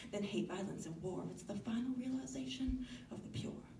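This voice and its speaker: Here a woman speaks with an American accent. She keeps a moderate pace over noticeable background noise. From Northeastern US. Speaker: slam poet. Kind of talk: slam poetry performance.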